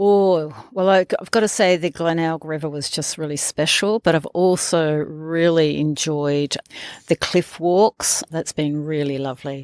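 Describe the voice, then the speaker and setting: A woman with an Australian accent speaks at a fairly slow pace, with a very deep, low pitch. Her intonation is fairly even, and the sound is dry and close with no echo. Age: 60s. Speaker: fellow hiker interviewed on trail. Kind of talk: casual interview.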